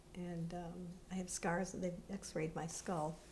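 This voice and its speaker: With audible room echo, a woman speaks at a fairly low pitch and a fairly slow pace in a dark, mellow, somewhat breathy tone, her intonation monotone and flat. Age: 70s. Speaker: interviewee recounting her childhood. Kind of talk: interview testimony. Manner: halting.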